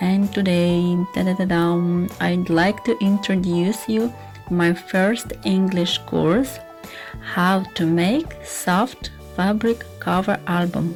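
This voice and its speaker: A very slow voice with a Russian accent, ordinary pitch variation and very even loudness, with music in the background. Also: woman, fairly low pitch for a woman. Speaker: scrapbooking teacher. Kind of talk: casual talk to camera.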